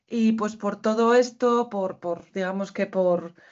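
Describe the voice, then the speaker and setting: A woman speaks at a medium pitch with fairly even intonation and a fairly slow pace. Hers is a plain, everyday voice. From Basque Country, Spain. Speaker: university lecturer, co-author. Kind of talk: panel talk at academic conference. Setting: university conference with audience.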